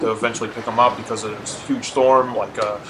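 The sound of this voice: Fast-paced speech over clear background noise. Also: man.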